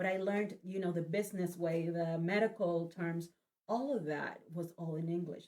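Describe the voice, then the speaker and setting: This woman speaks with a Spanish accent in a fairly low voice. Her tone is dark and mellow, with fairly even intonation. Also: moderate pace. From Spanish-speaking country, moved to US at 18. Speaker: event organizer, nurse. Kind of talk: casual interview. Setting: studio, livestream.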